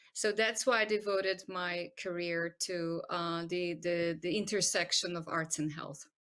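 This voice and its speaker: With a Croatian accent, a woman speaks at a fairly low pitch and fairly slow pace, keeping her intonation fairly even. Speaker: medical doctor and arts-in-health expert. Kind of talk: interview. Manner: hesitant, many fillers.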